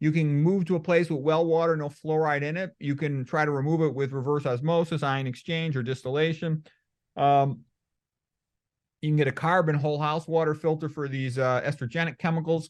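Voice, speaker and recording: In an American accent and a plain, everyday voice, a man talks at a fairly quick pace and fairly high pitch, his intonation fairly even against a quiet background. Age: 60s. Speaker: medical doctor. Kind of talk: interview.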